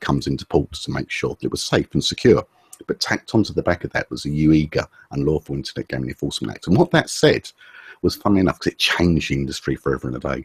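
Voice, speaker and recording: A man speaks with an English accent. The sound is dry and close, with no echo. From England. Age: 40s. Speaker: SEO specialist. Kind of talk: interview. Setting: video call.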